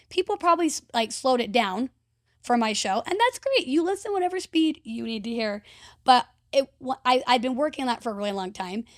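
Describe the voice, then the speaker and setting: Loud and high-pitched, a woman speaks at a fairly quick pace with very wide pitch swings, the sound dry and close with no echo on a very clean recording with a silent background. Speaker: podcast host and event emcee. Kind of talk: casual chat. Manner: fast.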